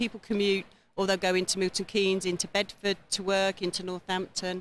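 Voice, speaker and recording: A woman with an English accent speaks at a medium pitch and a fairly quick pace. The sound is dry and close, with no echo. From England, Olney (Buckinghamshire). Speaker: visiting guest. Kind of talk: TV interview.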